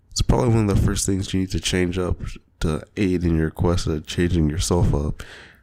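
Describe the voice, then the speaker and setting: Very deep and low, the man's voice has a dark, mellow tone and fairly even intonation. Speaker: podcast host. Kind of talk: solo podcast monologue. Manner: fast; hesitant, many fillers.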